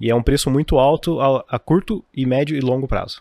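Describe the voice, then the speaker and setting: A man with a medium-pitched voice speaks at a fairly slow pace, with ordinary pitch variation. The sound is dry and close with no echo, and the recording is very clean with a silent background. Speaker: financial educator. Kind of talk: casual chat. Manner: well-spoken.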